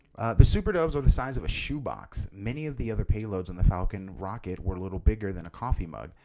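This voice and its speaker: A man speaks at a fairly quick pace with a fairly low pitch and vocal fry. His dark, mellow tone carries very wide pitch swings. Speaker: podcast host. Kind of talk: solo news commentary podcast.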